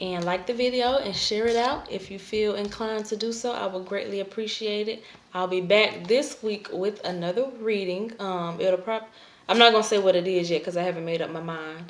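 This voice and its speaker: This woman talks at a moderate pace with a medium pitch. Her pitch varies an ordinary amount. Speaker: tarot reader. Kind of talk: tarot reading to camera.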